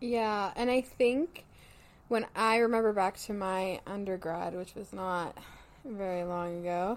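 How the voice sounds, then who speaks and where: Spoken at a fairly slow pace in a Canadian accent, an ordinary speaking voice comes through on a very clean recording with a silent background. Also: woman, medium pitch for a woman, ordinary pitch variation. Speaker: psychology graduate student and podcast host. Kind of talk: casual chat.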